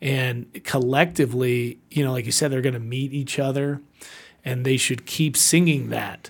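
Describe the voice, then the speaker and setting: Monotone, flat intonation from a man on a very clean recording with a silent background. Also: medium pitch for a man, moderate pace. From Puerto Rico and Atlanta. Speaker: podcast host, veteran, real estate agent. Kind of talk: casual interview chat.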